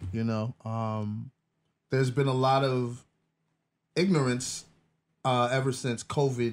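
Fairly slow delivery, ordinary pitch variation, and light background noise. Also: man. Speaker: podcast host. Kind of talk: interview question. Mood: serious turn in topic. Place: studio.

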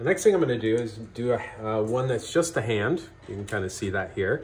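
Here a man speaks at a moderate pace with ordinary pitch variation. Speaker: craft instructor. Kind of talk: tutorial.

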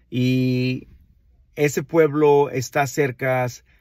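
Heard over a quiet background, the man's voice has a dry sound with no echo. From Mexico, Nayarit (Villa Juárez, Santiago Ixcuintla); Nayarit, Mexico. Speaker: wine enthusiast, channel host; channel host. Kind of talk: casual vlog monologue. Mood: warm, proud, friendly. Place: car. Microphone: phone near.

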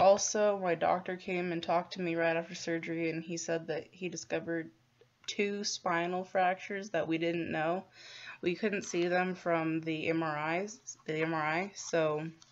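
A woman speaks at a moderate pace in a fairly low pitch. Her intonation is flat and monotone. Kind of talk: casual vlog chat. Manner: slow, low-energy voice, lying in bed. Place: home room. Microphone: phone near.

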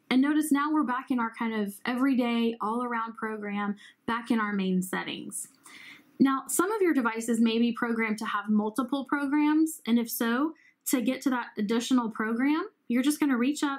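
A woman speaks with a high pitch and ordinary pitch variation. The background is quiet. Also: moderate pace. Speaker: hearing care professional demonstrating app. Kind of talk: tutorial.

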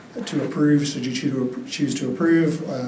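A man is speaking. Light background noise and audible room echo are present. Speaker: presenter. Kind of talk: formal staff report presentation. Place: hall.

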